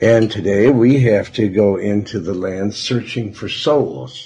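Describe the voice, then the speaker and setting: A man talks at a very slow pace, sounding somewhat breathy. His tone is dark and mellow. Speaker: radio pastor. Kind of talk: sermon. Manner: halting.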